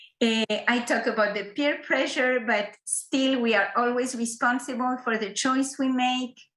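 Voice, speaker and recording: A woman speaks in a high pitch with fairly even intonation. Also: fairly slow pace, hardly any pauses, very even loudness. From Morocco. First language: not English; English is her third language. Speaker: school counselor and presenter. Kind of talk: online presentation. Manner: halting, many repetitions and fillers.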